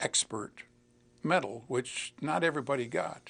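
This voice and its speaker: This man's voice has vocal fry. His pitch moves with ordinary variation. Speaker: WWII Marine Corps veteran. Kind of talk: oral history interview answer. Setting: TV studio.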